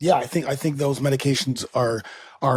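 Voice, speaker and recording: A man talks in a fairly high pitch, somewhat breathy. The recording is very clean with a silent background. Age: 50s. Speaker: fitness coach and podcast host. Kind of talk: podcast interview.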